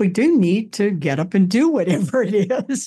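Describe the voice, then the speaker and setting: The voice has a dark, mellow tone and is somewhat breathy. Its pitch swings very widely at a moderate pace. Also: woman. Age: 80s. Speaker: author and retired theater professor. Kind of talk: interview.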